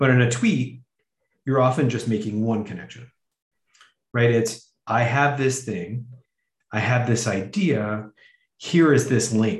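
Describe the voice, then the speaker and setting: In a room with audible echo, a man with a somewhat breathy, medium-pitched voice talks at a fairly slow pace, pausing long and often. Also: ordinary pitch variation. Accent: Canadian. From Canada. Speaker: podcast host and academic. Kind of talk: casual chat.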